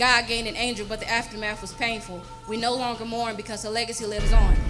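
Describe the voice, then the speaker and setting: Over music in the background, a woman talks at a very fast pace with big swings in loudness. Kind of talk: spoken word poetry performance. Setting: live church service.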